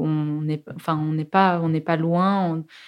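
Against a silent background in a very clean recording, a woman speaks very slowly at a fairly low pitch with ordinary pitch variation. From Germany (Soest), then southern Belgium (Ardennes) from 13. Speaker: film director. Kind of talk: interview. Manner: hesitant, many fillers.

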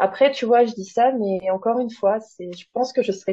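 A woman with an ordinary speaking voice, fairly high in pitch, speaks at a moderate pace with fairly even intonation. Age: 30s. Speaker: artist and clothing customizer. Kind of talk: casual interview.

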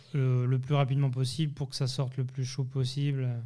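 A man's somewhat breathy voice, dark and mellow in tone, at a fairly slow pace. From Geneva area, Switzerland / Haute-Savoie. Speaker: chef. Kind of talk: interview. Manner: halting, many repetitions.

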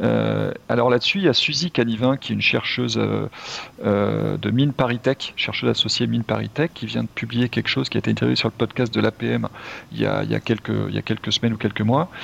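A man at a fairly quick pace, dry and close-sounding with no echo. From France. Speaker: entrepreneur. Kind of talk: casual chat. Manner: hesitant, many fillers.

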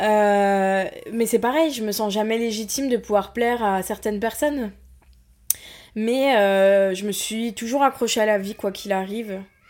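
A woman with a plain, everyday voice at a fairly slow pace, on a very clean recording with a silent background. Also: fairly high pitch for a woman, fairly even intonation. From provincial France. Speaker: podcast guest sharing personal story. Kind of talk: personal testimony.

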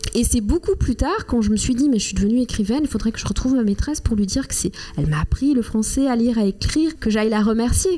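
A woman with a fairly high voice speaks at a very fast pace with hardly any pauses and lively intonation. Noticeable background noise sits behind her. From Rwanda. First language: Kinyarwanda (speaking French). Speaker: writer. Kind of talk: interview.

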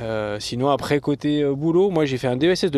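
A man with a plain, everyday voice speaks at a moderate pace in a fairly high pitch with lively intonation. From southern France, Antibes area. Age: 40s. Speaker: marathon runner and sports author. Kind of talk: interview. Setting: in a car.

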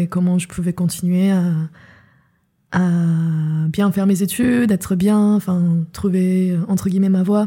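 On a very clean recording with a silent background, a woman speaks in a medium pitch with a dark, mellow tone, somewhat breathy, monotone and flat, at a fairly slow pace. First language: not French (speaking French). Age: 20s. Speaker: filmmaker and writer. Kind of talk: personal testimony. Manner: hesitant, many fillers.

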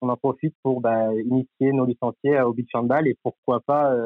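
His pitch sits in the middle range. The man's delivery is monotone and flat. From Normandy, France (Cherbourg). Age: 20s. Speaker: sports club partnerships manager. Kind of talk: interview. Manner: halting, many filler words.

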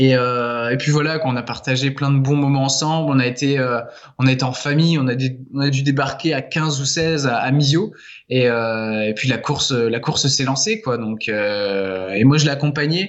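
Audible room echo hangs around the man's voice. His pitch varies in an ordinary way. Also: medium pitch for a man, moderate pace. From France, Laval. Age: 20s. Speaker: author. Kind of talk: interview. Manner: halting.

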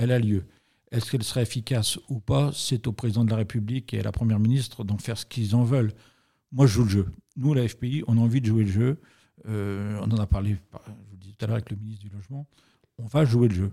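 Very fast, somewhat breathy speech in a dark, mellow tone, fairly even in intonation but with big swings in loudness. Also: man, medium pitch for a man, very clean recording, silent background. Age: 50s. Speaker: real estate industry federation president. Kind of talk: interview.

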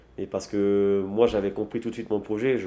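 Against a quiet background, a man speaks fairly quickly at a fairly low pitch, with fairly even intonation and a dark, mellow tone. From French Polynesia. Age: 30s. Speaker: sailor and entrepreneur. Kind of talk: interview. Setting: office. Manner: halting.

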